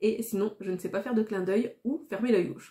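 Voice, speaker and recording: A woman at a moderate pace. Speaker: YouTuber. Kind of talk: casual vlog monologue. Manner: not well articulated.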